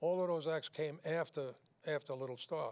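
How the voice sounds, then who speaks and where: A man with a New York accent at a fairly high pitch and a fairly even intonation. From New York City. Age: 80s+. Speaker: singer and show host. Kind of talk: casual chat. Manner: halting.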